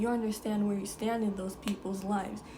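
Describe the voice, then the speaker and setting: Noticeable background noise and audible room echo surround the recording. A woman speaks at a medium pitch in a monotone, flat intonation. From Jamaica. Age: 20s. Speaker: lifestyle vlogger. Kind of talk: casual advice talk to camera.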